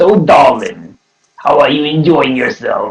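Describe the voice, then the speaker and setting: A fairly slow pace in a man's put-on character voice. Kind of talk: smooth, affectionate address.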